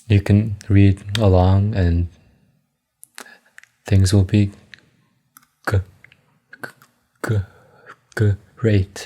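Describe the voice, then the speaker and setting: Very slow and broken by long, frequent pauses, a man's fairly low voice stays monotone, with flat intonation. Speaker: amateur reader sharing stutter practice. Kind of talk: casual chat; reading aloud. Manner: halting.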